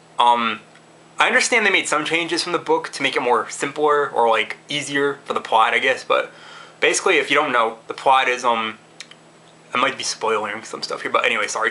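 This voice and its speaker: Noticeable background noise sits behind the audio. Over it, a man talks at a fairly quick pace. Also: fairly high pitch for a man, ordinary pitch variation. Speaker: movie reviewer. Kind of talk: casual video review. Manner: fast; halting, many restarts and fillers.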